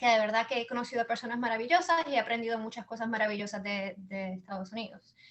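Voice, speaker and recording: A woman with a Puerto Rican accent talks very fast at a fairly high pitch with ordinary pitch variation. Her loudness swings widely, and there is noticeable background noise. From Puerto Rico. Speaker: business founder and mother. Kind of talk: interview. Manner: halting, many repetitions.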